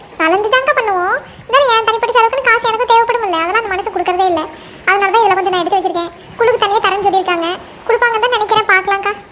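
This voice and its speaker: A woman does a cartoonish character voice at an extremely high pitch and a very fast pace, with clear background noise. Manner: anxious.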